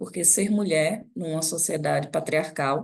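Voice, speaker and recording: A woman speaks in a northeastern Brazilian accent with ordinary pitch variation. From Northeast Brazil, Recife. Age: 40s. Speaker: NGO director and professor. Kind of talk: guest lecture.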